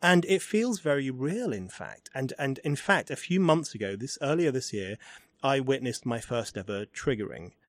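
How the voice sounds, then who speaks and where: A man with an English accent talks at a moderate pace in a medium pitch. His pitch swings very widely. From England. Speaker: podcast host and writer. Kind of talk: interview conversation. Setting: in person at a university.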